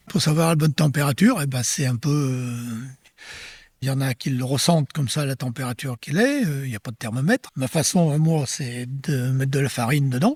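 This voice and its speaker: In a dry, close sound with no echo, a somewhat breathy man speaks at a fairly high pitch and a fairly quick pace, with ordinary pitch variation. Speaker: retired farmer. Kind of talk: interview testimony.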